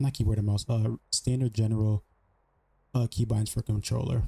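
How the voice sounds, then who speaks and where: Fairly quick and somewhat breathy, a man speaks in a dark, mellow tone with monotone, flat intonation, the sound dry and close with no echo. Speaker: gaming youtuber. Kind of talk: tutorial. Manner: fast; casual.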